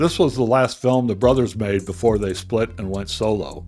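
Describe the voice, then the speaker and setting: Music plays in the background as a man speaks at a moderate pace. His pitch is fairly low, with ordinary pitch variation. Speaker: film reviewer. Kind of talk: film review narration.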